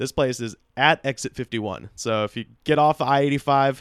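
This man has a plain, everyday voice at medium pitch with fairly even intonation, recorded very cleanly against a silent background with a dry, close sound and no echo. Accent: American. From US South, Auburn, Alabama. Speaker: comedian and podcaster. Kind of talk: casual chat. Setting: home studio.

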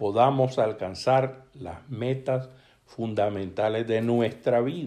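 Ordinary rise and fall in pitch from a man with a dark, mellow tone. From Nicaragua. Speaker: educator. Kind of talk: recorded testimony.

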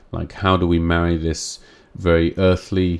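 This man talks in a very deep, low-pitched voice. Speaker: podcast host. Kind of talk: solo live-streamed monologue. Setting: live stream with video. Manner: animated.

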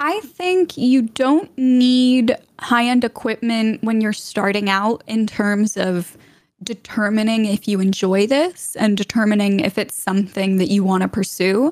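A woman talks at a fairly slow pace, her loudness very even and her pitch varying in an ordinary way. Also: fairly high pitch for a woman. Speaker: Twitch streamer and voice actor. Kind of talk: casual interview chat. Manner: lively.

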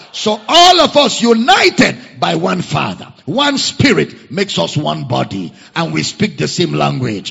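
A man speaks at a fairly slow pace with hardly any pauses, over noticeable background noise. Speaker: preacher. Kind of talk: sermon. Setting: church.

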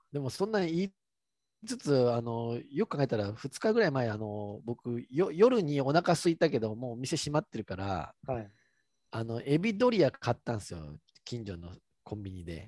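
In a very clean recording with a silent background and a dry, close sound with no echo, a man with a Kansai accent speaks at a moderate pace in a medium pitch and a dark, mellow tone, with very wide pitch swings and big swings in loudness. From Kansai, Japan. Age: 30s. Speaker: podcast co-host. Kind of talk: casual chat.

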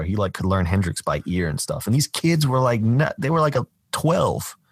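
Fairly quick speech from a man, in an American accent. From US South, Georgia (Atlanta area). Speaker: filmmaker and film critic. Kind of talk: casual interview chat.

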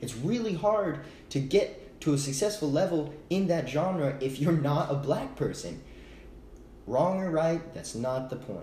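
Heard with audible room echo, a man with an American accent talks at a fairly slow pace with a fairly high pitch and ordinary pitch variation. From Texas, Austin. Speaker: podcast co-host. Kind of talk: casual chat.

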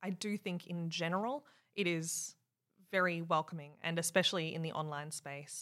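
Fairly even intonation and an Australian accent come through on a very clean recording with a silent background. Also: woman, fairly low pitch for a woman, moderate pace. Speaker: software engineering leader. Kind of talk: casual interview chat.

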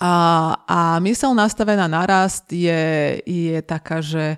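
In a very clean recording with a silent background and a dry, close sound with no echo, a woman speaks in a fairly low pitch with ordinary pitch variation. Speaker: coach and lecturer. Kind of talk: interview conversation. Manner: enthusiastic, energetic.

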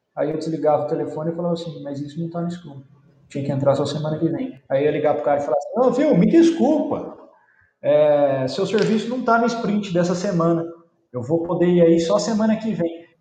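A man with a high pitch talks at a fairly quick pace with lively intonation, and audible room echo is present. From Brazil, interior of São Paulo state. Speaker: environmental engineer, company founder. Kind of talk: casual interview.

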